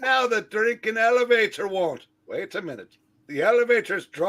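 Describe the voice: Against a quiet background, this is plain reading aloud with ordinary pitch variation.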